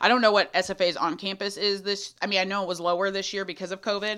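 Speaking at a very fast pace with a Texan accent, a woman uses a medium pitch, fairly even intonation and a bright, sharp tone, on a very clean recording with a silent background. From Central Texas, small town near Austin. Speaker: college student affairs coordinator. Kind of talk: casual interview. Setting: mobile podcast studio.

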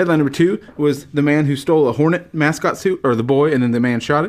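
A very fast-talking man with a fairly high pitch and ordinary pitch variation. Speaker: podcast host. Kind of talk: comedic bonus round quiz. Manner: doing a radio voice.

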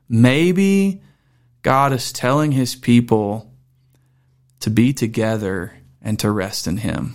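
In a Southern US accent, a man speaks at a very slow pace and medium pitch with lively intonation and long, frequent pauses, on a very clean recording with a silent background. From Mississippi. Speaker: pastor. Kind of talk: casual chat. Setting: studio.

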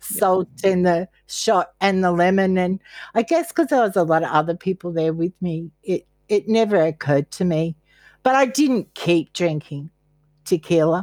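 In an Australian accent, a woman speaks at a moderate pace and medium pitch with ordinary variation, on a very clean recording with a silent background and a dry, close sound with no echo. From Australia, Queensland. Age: 60s. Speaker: therapist in recovery. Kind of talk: interview.

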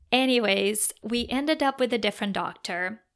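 A woman with a Portuguese accent is heard on a very clean recording with a silent background. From Brazil. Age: 30s. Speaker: podcast host. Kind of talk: personal storytelling monologue.

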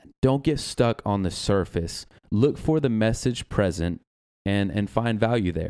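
On a very clean recording with a silent background, a man speaks with an Arkansas accent at a medium pitch. His tone is dark and mellow, his intonation lively. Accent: Southern US (Arkansas). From Arkansas, US South. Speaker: personal trainer. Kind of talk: casual chat.

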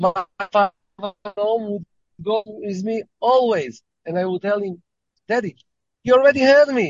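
With an Israeli accent, a man with a high pitch talks at a fairly slow pace, with ordinary pitch variation and long, frequent pauses. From Israel, Tel Aviv. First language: Hebrew. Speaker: rabbi. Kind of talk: interview.

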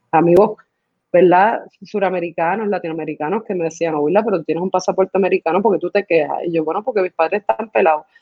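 Very fast speech from a woman, fairly low in pitch, with ordinary pitch variation. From Puerto Rico, raised partly in the US. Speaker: performance artist and choreographer. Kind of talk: casual interview.

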